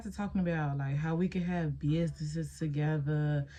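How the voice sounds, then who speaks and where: Speaking at a fairly quick pace, a woman has a very deep, low pitch, a dark, mellow tone, a somewhat breathy quality and ordinary pitch variation. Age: 20s. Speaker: beauty vlogger. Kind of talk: casual chat. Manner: animated.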